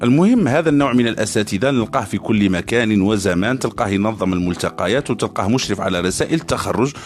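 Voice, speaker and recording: This man talks at a fairly quick pace with hardly any pauses, his pitch fairly low. Noticeable background noise runs behind him. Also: lively intonation, very even loudness. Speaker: university student podcaster. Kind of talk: satirical podcast monologue. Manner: casual, humorous.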